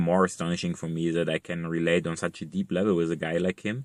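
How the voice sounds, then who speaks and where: A man with a German accent speaks at a moderate pace in a very deep, low pitch. The sound is dry and close with no echo, the intonation fairly even, and the recording very clean with a silent background. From East Germany. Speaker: vlogger. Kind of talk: casual monologue. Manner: halting, many fillers and repetitions.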